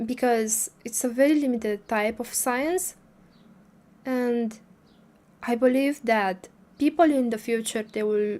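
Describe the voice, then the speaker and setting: Speaking fairly slowly with long, frequent pauses, a woman with a non-native accent uses a high pitch, a dark, mellow tone and ordinary pitch variation. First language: not English. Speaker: spiritual livestreamer. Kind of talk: casual livestream talk. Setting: livestream. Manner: halting, many fillers.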